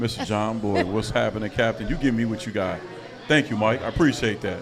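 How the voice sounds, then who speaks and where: A man at medium pitch and a fairly quick pace, with audible room echo and music in the background. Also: ordinary pitch variation. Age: 40s. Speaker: podcast host. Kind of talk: casual chat.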